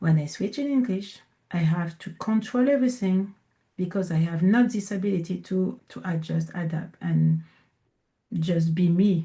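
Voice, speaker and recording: In a French accent, a woman speaks with a dark, mellow tone and a medium pitch. Her voice is somewhat breathy, with ordinary pitch variation. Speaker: coach and entrepreneur. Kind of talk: interview. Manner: deliberately slowed in English; halting.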